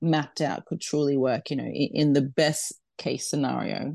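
A woman with an Australian accent, very deep, low pitch, a dark, mellow tone, vocal fry and fairly even intonation, in a quiet background. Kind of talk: interview. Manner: halting, many fillers.

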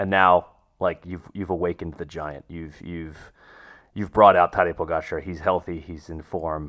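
A man speaks at a moderate pace in a very deep, low pitch, his loudness swinging widely against a quiet background. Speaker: podcast host. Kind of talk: casual chat. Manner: animated.

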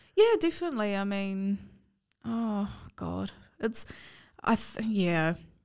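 Speaking in a New Zealand accent, a woman talks at a very slow pace with long, frequent pauses. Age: 20s. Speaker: podcast co-host. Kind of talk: casual chat.

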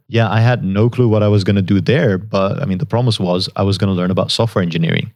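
With a Dutch accent, a man speaks in a fairly low voice. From Netherlands. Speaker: software engineer. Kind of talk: interview.

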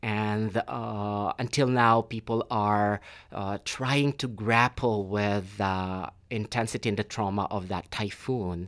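At a very slow pace, a man speaks in a medium pitch with fairly even intonation. The recording is very clean, with a silent background. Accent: Filipino. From Philippines. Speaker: PhD student and theater director. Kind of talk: casual interview. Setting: studio. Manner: thoughtful, hesitant with filler words.

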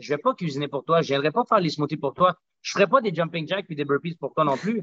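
A man speaks very fast with a Quebec accent. His pitch is fairly high, with ordinary variation. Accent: Quebec French, barely any Spanish. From Quebec, Montreal South Shore. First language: Spanish (speaking French). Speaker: smoothie bar and gym owner. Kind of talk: casual interview.

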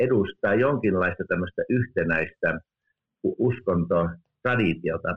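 A man with an ordinary speaking voice, ordinary pitch variation and a fairly slow pace. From Finland. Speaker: theology professor. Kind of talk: interview. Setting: remote call.

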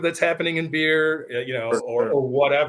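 A man with an unremarkable speaking voice. His pitch sits fairly high, and he talks at a moderate pace. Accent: American. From Michigan. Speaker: podcast host. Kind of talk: casual chat.

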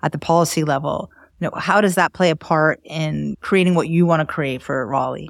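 Against a silent background on a very clean recording, the speaker uses fairly even intonation with an American accent. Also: woman, very deep, low pitch for a woman, fairly quick pace. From Miami, Florida. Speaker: podcast co-host, brand consultant and writer. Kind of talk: interview.

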